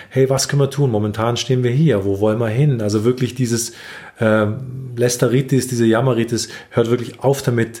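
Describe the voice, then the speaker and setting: A man's medium-pitched, somewhat breathy voice with a dark, mellow tone, monotone, flat intonation, very even loudness and a fairly quick pace. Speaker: relationship podcast host. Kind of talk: casual chat. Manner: halting.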